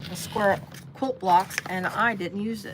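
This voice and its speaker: With an American accent, a woman talks at a moderate pace and medium pitch, her intonation fairly even against noticeable background noise. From US Midwest, Cincinnati area. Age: 60s. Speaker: sewing livestreamer. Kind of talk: live sewing tutorial. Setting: basement, livestream. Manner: casual, halting with fillers.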